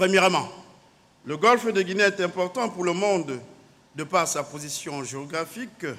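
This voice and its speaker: A man's high-pitched voice, bright and sharp in tone, with ordinary pitch variation, a moderate pace and long, frequent pauses. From Cameroon. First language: native Cameroonian language (speaking French). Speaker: naval officer. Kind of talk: conference speech. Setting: conference hall. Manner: formal.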